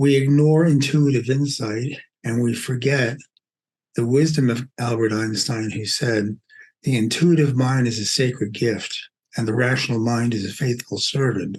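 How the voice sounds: A man with a Brooklyn accent at a fairly slow pace, medium pitch, ordinary pitch variation and a slightly mellow tone. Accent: Brooklyn New York.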